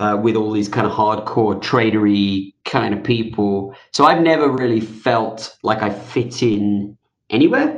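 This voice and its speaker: A man with an ordinary speaking voice talks at a fairly slow pace and with fairly even intonation. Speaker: author and fintech veteran. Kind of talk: interview answers.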